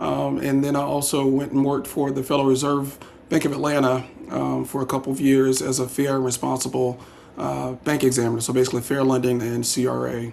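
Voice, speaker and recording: Here a man of medium pitch speaks with a South Carolina accent at a fairly quick pace. Noticeable background noise sits behind him. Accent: Southern US (South Carolina). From US South, South Carolina (Darlington). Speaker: political candidate, banker. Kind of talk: candidate interview. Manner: hesitant, many fillers.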